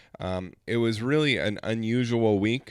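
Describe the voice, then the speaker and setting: The recording is very clean, with a silent background. A man speaks at a fairly slow pace and a medium pitch. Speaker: pastor. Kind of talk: podcast reflection. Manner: casual, hesitant with fillers.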